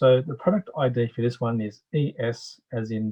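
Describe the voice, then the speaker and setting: Somewhat breathy, a man speaks with an Australian accent. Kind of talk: product demonstration. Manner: casual, explanatory.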